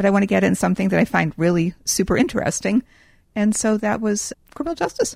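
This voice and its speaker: A woman talks at a very fast pace. Her voice has vocal fry. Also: dry, close sound with no echo. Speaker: nonprofit founder. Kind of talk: casual interview.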